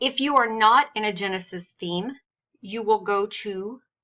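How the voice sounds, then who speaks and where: A woman's plain, everyday voice at medium pitch, with ordinary pitch variation and a fairly slow pace. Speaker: blogger and online business strategist. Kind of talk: tutorial.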